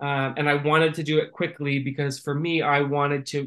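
A man with an American accent, bright, sharp tone and fairly high pitch, monotone and flat at a moderate pace over a quiet background. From Northern California. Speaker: music marketing executive. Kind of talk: interview.

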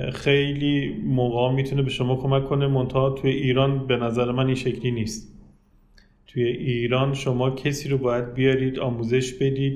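In a room with audible echo, a man speaks at medium pitch and a moderate pace, with monotone, flat intonation and very even loudness. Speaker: automotive inspection engineer and company manager. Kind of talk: interview.

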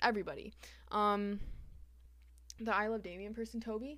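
A woman speaks at a fairly high pitch with a bright, sharp tone. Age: 20s. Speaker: podcast co-host. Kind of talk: casual banter. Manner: loud.

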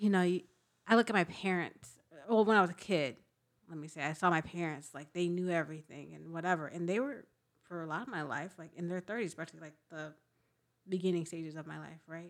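On a very clean recording with a silent background, a woman with a fairly low pitch talks at a very fast pace with big swings in loudness. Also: ordinary pitch variation. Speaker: podcast co-host. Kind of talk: casual chat.

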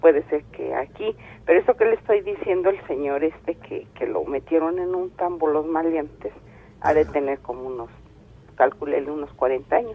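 Speaking at a moderate pace, a woman with a central Mexican accent has a fairly low pitch. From State of Mexico. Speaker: caller. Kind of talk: phone-in storytelling.

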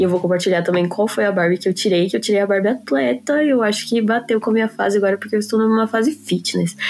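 There is noticeable background noise as a woman speaks. She goes at a very fast pace with ordinary pitch variation. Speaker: podcast co-host. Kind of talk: casual chat.

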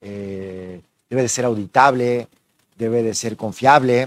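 The sound is dry and close, with no echo. A man speaks at medium pitch. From Mexico City. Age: 40s. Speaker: election official. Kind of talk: interview.

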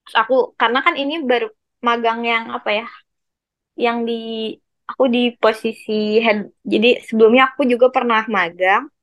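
A woman's fairly high voice with a West Javanese accent, at a moderate pace and with ordinary pitch variation. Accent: Sundanese. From West Java (Bandung). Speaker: university student. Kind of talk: casual chat.

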